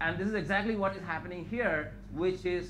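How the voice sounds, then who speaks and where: There is audible room echo as a man speaks. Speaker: scientist giving a research talk. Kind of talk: lecture. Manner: fast.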